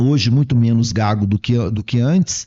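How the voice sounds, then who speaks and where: The speaker is a man with a medium-pitched voice. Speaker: psychologist and lecturer. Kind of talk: podcast interview.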